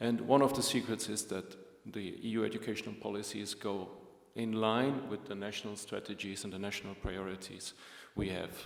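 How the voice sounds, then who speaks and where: A man with a German-speaking European accent talks at a fairly quick pace in a fairly low pitch with fairly even intonation, with audible room echo. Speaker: EU agency official. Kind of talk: opening speech at a conference. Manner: formal.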